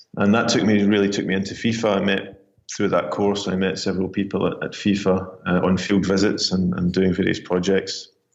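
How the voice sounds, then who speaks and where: Amid audible room echo, a man speaks in a flat monotone at a very deep, low pitch. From Scotland. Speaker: sports marketing executive. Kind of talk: interview.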